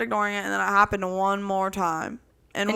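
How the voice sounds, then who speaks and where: Loud and at a very fast pace, a woman speaks in a medium pitch with a bright, sharp tone and ordinary pitch variation, on a very clean recording with a silent background. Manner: loud, projecting voice.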